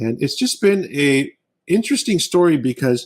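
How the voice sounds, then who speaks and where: A man with a General American accent, lively intonation and a moderate pace. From California, US West Coast (born in Honduras). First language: Arabic and Spanish. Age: 50s. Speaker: doctor and cigar maker. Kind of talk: interview.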